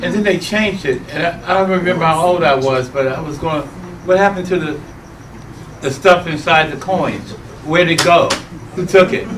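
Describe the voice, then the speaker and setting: A man's high-pitched voice at a fairly quick pace, with ordinary pitch variation, long and frequent pauses, audible room echo and noticeable background noise. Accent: American. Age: 60s. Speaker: audience member, company supporter. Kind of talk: casual remarks in a presentation Q&A.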